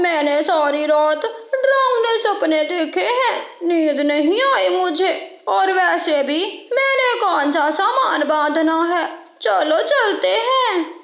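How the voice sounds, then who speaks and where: A cartoonish character voice comes through at an extremely high pitch and a very slow pace. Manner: sly, self-serving.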